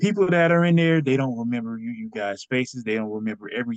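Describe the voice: The text is read out plainly. Nothing more is added to the reading.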